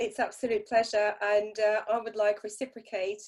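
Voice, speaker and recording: Her voice is fairly high in pitch for a woman. She keeps a moderate pace. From Russia. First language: Russian. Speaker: interpreter and association chair. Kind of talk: online interview. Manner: hesitant with many fillers.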